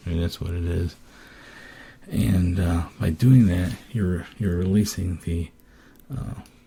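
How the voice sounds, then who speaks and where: A somewhat breathy voice with a dark, mellow tone and ordinary pitch variation, at a very slow pace with long, frequent pauses. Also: man, very deep, low pitch for a man. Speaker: person with Parkinson's disease. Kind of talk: casual podcast talk. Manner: hesitant, many fillers.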